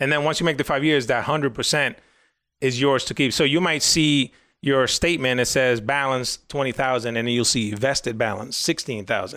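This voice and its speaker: A man with a Spanish accent speaks at a fairly quick pace and a medium pitch, with ordinary pitch variation. His tone is bright and sharp, and the recording is very clean with a silent background. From Dominican Republic, raised from 11 in New York. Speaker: financial planner. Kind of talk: casual interview.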